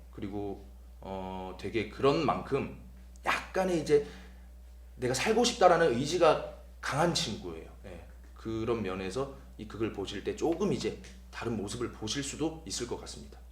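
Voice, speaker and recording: Music plays in the background, with audible room echo. The speech moves at a moderate pace with long, frequent pauses and big swings in loudness. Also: man. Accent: Gyeongsang. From South Korea, Busan (Gyeongsang). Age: 20s. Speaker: stage actor. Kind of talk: promotional interview.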